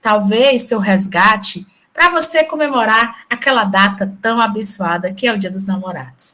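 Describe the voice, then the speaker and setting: Speaking at a fairly slow pace, a woman uses lively intonation and a bright, sharp tone. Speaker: radio host. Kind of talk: radio show opening.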